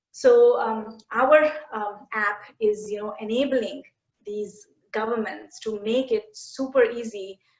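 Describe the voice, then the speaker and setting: A woman speaks very slowly with an Indian accent, her pitch fairly high. Her intonation stays fairly even while her loudness swings widely. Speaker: education tech company CEO. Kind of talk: interview conversation. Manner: halting, many fillers.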